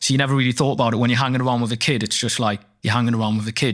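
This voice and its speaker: A man's medium-pitched voice at a very fast pace, with fairly even intonation, on a very clean recording with a silent background. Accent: Geordie. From northeast England. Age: 20s. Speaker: rapper and actor. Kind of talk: casual interview chat.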